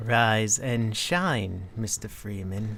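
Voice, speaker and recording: A man performs a put-on character voice at a medium pitch. Clear background noise is present. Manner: eerie, measured, sinister.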